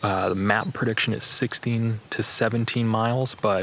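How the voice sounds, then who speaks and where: A man's voice amid noticeable background noise. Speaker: hiking vlogger. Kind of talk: vlog narration. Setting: outdoors.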